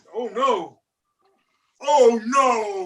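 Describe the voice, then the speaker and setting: A man does a put-on character voice. His pitch is extremely high. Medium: game stream. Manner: rambling, deadpan.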